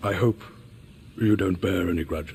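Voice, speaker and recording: A man speaks at a moderate pace in a put-on character voice with a very deep, low pitch, and clear background noise is audible. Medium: video game.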